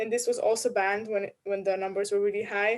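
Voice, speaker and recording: Speaking with a Slovenian accent, the voice keeps a monotone, flat intonation. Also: woman. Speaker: culture industry worker. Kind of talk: casual discussion.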